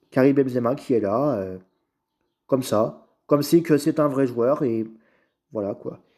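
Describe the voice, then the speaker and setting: In a very clean recording with a silent background, a man with a dark, mellow tone and medium pitch talks at a fairly slow pace with ordinary pitch variation and long, frequent pauses. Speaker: YouTuber. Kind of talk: tutorial.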